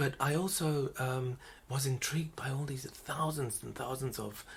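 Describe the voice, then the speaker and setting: A man talks at a moderate pace in a medium-pitched, somewhat breathy voice. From South Africa, Italian parents. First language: Italian. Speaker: flight service manager and mindfulness practitioner. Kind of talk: casual interview. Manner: hesitant, many fillers.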